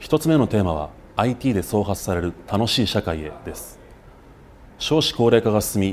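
Light background noise accompanies a man speaking at a moderate pace in a fairly low voice with lively intonation. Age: 30s. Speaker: political candidate; candidate. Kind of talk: campaign speech. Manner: formal. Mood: earnest, formal. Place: studio.

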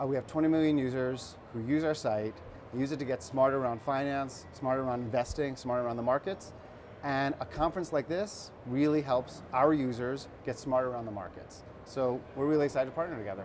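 With ordinary pitch variation and a fairly quick pace, a man talks as light background noise plays behind him. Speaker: guest. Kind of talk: interview answer. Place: studio. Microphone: lapel.

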